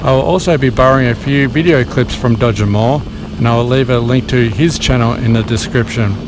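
The voice moves at a moderate pace in a dry recording with no echo and noticeable background noise. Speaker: motovlogger. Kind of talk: casual vlog chat. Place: motorbike.

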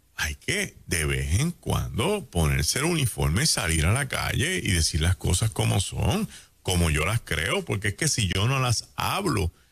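Against a quiet background, a man talks at a fairly slow pace in an animated tone, his pitch swinging very widely while his loudness stays very even. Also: fairly low pitch for a man, hardly any pauses. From Puerto Rico. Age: 60s. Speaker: pastor. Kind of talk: radio talk show commentary. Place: studio. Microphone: studio mic.

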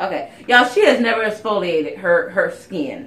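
Room echo is audible as a woman speaks at a fairly high pitch. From South Carolina. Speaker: beauty YouTuber; beauty vlogger. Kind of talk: casual chat. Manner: animated. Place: home room. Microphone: phone near.

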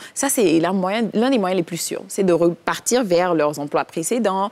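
A woman talks with lively intonation. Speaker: TV talk show co-host. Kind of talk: TV talk show. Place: studio. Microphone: lapel.

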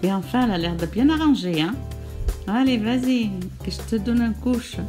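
Music can be heard behind this woman. She talks at a moderate pace. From Algeria. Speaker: grandmother. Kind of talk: improvised makeup tutorial voice-over. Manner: chatty, humorous.

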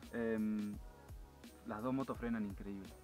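Over faint music in the background, a man speaks at a fairly slow pace with a fairly low pitch, a slightly mellow tone and fairly even intonation.

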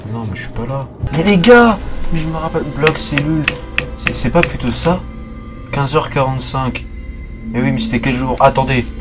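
Music plays clearly behind the speaker. Delivery is at a moderate pace. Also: man. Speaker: gaming youtuber. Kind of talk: casual let's play commentary. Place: home room. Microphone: headset.

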